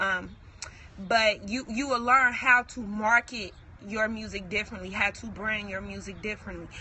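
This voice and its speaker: Against noticeable background noise, a woman with a fairly high voice speaks at a moderate pace, with fairly even intonation but big swings in loudness. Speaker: entrepreneur vlogger. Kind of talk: motivational talk to camera. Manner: casual, halting.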